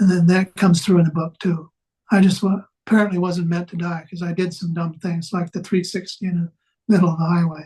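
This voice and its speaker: A man with an American accent talks fairly quickly in a high, monotone, flat voice. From US Midwest, western Wisconsin. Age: 70s. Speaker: author and navy veteran. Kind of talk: interview.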